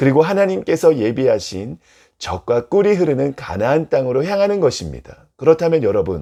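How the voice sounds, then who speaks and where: A man's fairly high voice with very wide pitch swings, a dark, mellow tone and a moderate pace. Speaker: pastor. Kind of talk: sermon. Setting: video recorded for online channel.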